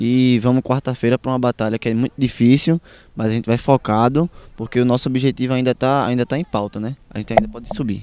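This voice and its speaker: A man speaks at a very fast pace with ordinary pitch variation. The sound is dry with no echo, with light background noise. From Cabo, Pernambuco, Brazil. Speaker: footballer. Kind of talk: post-match interview. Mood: calm, slightly frustrated, determined. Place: stadium. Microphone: handheld.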